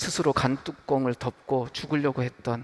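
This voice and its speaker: A man talks at a moderate pace in a medium pitch, his intonation fairly even, while noticeable background noise carries on behind him. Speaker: pastor. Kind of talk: sermon. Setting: church.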